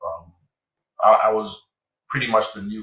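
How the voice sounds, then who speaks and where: A man speaks with a slight non-native accent. His pace is fairly slow. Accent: slight foreign accent in English. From Haiti, Niger, Chad (moved around). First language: French and Haitian Creole. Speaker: software engineering manager. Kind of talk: casual interview chat.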